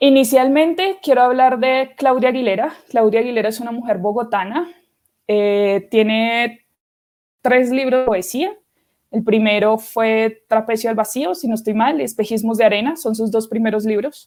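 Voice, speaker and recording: A fairly high-pitched woman, using a normal speaking voice, proceeds at a moderate pace and varies her pitch in an ordinary way. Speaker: literary scholar and editor. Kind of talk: lecture. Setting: virtual conference livestream.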